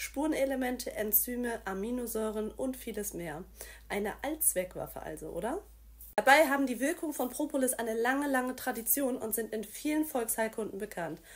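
High-pitched and full of lively intonation, a woman's voice carries the clip. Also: moderate pace. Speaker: presenter. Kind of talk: promotional explainer. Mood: friendly, smiling. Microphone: phone near.

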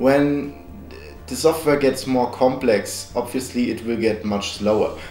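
A man speaks at a fairly slow pace, with faint music in the background and audible room echo. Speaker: tech reviewer. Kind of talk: product review narration. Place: home room.

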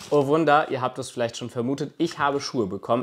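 Here is a plain, everyday voice. The pace is fairly quick. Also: man. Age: 20s. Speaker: YouTuber; vlogger. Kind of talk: vlog monologue to camera. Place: home room. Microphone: lapel.

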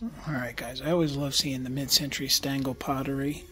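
A man speaking at a fairly slow pace, faint music in the background. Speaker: vintage reseller. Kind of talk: casual vlog chat. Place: shop. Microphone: phone near.

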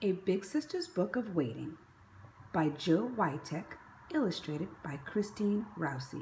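A woman's fairly low pitch with big pitch swings, at a fairly slow pace. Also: slightly mellow tone.

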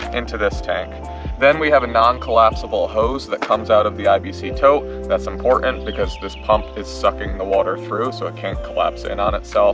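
A man talks at a moderate pace over clear background music. The sound is dry, with no echo. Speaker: homesteader vlogger. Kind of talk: casual vlog chat. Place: garden.

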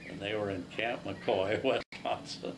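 A man talks with ordinary pitch variation. Noticeable background noise runs underneath. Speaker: war veteran. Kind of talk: casual recounting of war memories. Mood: relaxed, amused storytelling. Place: home room. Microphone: camera far.

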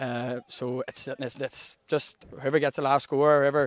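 A Northern Irish accent in a dry, close sound with no echo. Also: man. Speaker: club captain being interviewed. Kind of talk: post-match interview, casual chat. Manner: relaxed, conversational.

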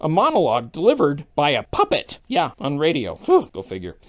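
Using a put-on character voice at a middle pitch, someone talks at a fairly quick pace. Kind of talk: comedic daily news digest.

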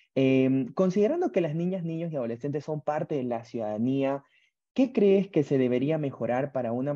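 A man's fairly high voice with a dark, mellow tone and lively intonation, over a quiet background. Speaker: webinar moderator. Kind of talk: online webinar moderation. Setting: video call. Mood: friendly, warm. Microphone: earbuds.

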